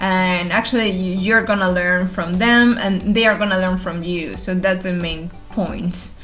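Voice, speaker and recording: Noticeable background noise and audible room echo fill the recording. A woman speaks fairly slowly at a medium pitch. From Argentina. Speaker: developer advocate. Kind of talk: interview.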